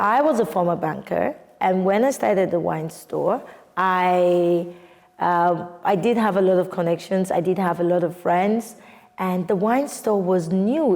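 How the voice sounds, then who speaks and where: Delivered at a fairly slow pace in a Nigerian accent, the voice keeps very even loudness and ordinary pitch variation. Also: woman. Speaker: wine entrepreneur. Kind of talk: interview answer.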